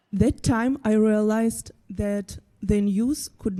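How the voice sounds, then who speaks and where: A woman with a Ukrainian accent and a dark, mellow tone. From Ukraine. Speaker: graphic designer. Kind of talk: presentation talk.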